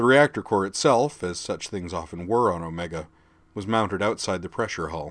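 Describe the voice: Reading aloud, plainly done.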